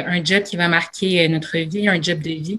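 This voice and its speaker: At a fairly slow pace, a woman talks in a bright, sharp tone with fairly even intonation. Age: young. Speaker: university student, panelist. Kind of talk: panel discussion.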